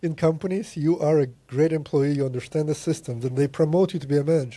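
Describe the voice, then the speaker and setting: Somewhat breathy, a man speaks at a fairly high pitch with ordinary pitch variation and a dark, mellow tone. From Latvia. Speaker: programmer and business consultant. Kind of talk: casual chat. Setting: podcast interview.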